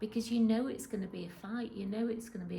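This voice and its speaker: The speaker is a woman. There is noticeable background noise. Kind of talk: interview answer. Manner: hesitant, conversational.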